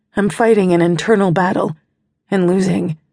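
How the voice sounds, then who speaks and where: A woman's medium-pitched voice with vocal fry, ordinary pitch variation and a smug, intense tone. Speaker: audiobook narrator. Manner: slows to a hushed, pained delivery, with a sneering smug tone for the villain's dialogue.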